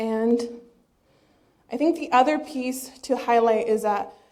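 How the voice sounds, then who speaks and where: A woman's high-pitched voice with ordinary pitch variation, in audible room echo. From eastern Washington, US. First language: Spanish. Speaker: PhD researcher. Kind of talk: lecture.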